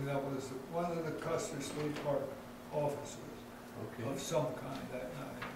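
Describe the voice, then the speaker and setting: With monotone, flat intonation, a man speaks at a fairly slow pace amid noticeable background noise and audible room echo. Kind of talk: interview answer. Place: office.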